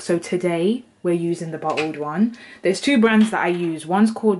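Ordinary pitch movement in a woman's fairly low voice. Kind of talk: tutorial. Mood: friendly, chatty. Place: kitchen.

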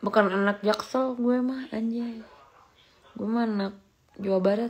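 A woman speaks at a fairly slow pace with fairly even intonation and a fairly high pitch in a plain, everyday voice. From West Java, Cibingbin; West Java. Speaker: live streamer. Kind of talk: casual live stream chat. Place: home room. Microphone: phone near.

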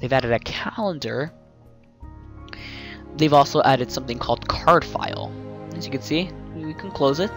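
Music plays in the background while the voice moves at a fairly quick pace. The sound is dry, with no echo. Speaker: software reviewer. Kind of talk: commentary.

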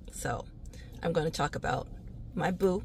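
A woman's animated, medium-pitched voice with vocal fry, at a moderate pace, in a dry sound with no echo. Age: 40s. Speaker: real estate agent. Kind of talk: casual comedic vlog monologue. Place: car. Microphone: phone near.

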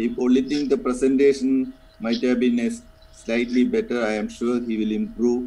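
A man talks at a fairly slow pace. There is noticeable background noise. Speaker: senior orthopaedic faculty. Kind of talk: feedback discussion. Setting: video call.

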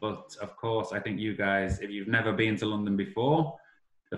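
A man with a Liverpool accent talks in a fairly low, somewhat breathy voice. His pitch varies in an ordinary way, and room echo can be heard. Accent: Liverpool (Scouse). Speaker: summer school director; English teacher presenting. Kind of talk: online class presentation to foreign students. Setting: video call. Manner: slow, simplified speech for learners; animated. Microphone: video call.

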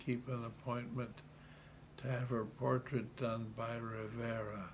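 In a room with audible echo, a man talks at a fairly slow pace, medium-pitched, somewhat breathy and monotone, with flat intonation. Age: 80s+. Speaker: retired city politician. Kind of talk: interview.

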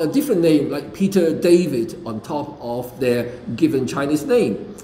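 Audible room echo carries a man's lively intonation as he talks at a fairly slow pace. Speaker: preacher. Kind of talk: sermon. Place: church. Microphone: podium.

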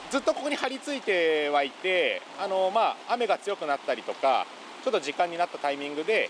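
The speech races at a very fast pace with very wide pitch swings, in a dry sound with no echo over noticeable background noise. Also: man. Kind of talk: interview answer. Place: rain.

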